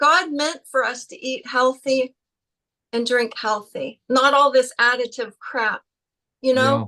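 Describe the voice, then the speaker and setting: A woman speaks very slowly in a high, bright and sharp voice, raised and projected, with a dry, close sound and no echo. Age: 50s. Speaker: patient giving a testimonial. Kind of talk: testimony. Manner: halting, with repeated words; animated.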